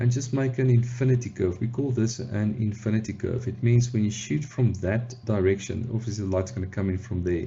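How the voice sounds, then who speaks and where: A man's somewhat breathy voice keeps a fairly even intonation. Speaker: photographer. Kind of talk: tutorial talk to camera. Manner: casual, hesitant with fillers.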